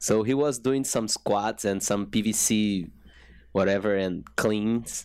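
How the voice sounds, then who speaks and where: On a very clean recording with a silent background, a man with a fairly low pitch talks at a very slow pace with fairly even intonation and very even loudness. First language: Portuguese. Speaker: fitness coach. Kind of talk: interview. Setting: studio. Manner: halting.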